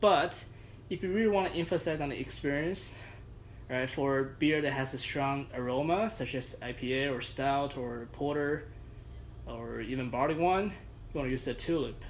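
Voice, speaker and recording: This man has a fairly high pitch and a non-native accent. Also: ordinary pitch variation, moderate pace. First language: not English. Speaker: judo practitioner and beer enthusiast. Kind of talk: casual chat.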